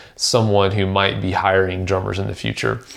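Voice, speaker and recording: Vocal fry runs through the speech, which moves at a very fast pace. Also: man. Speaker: drummer and podcast host. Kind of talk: solo podcast advice talk. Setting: home kitchen. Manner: soft-spoken; hesitant with many fillers.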